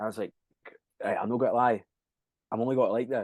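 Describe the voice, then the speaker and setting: A man speaks with a Scottish accent in a dark, mellow tone and fairly even intonation. The sound is dry and close, with no echo. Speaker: rock band frontman and singer. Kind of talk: casual chat. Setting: podcast interview.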